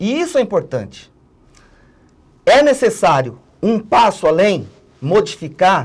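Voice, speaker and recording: Pausing long and often, a man speaks at a fairly slow pace in a high pitch with very wide pitch swings. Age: 60s. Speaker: political analyst and trade unionist. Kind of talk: TV interview.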